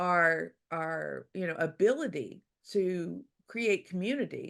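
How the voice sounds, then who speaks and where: Against a quiet background, a woman with an American accent speaks with very wide pitch swings. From US South, Louisiana. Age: 60s. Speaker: author. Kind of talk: interview. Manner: halting.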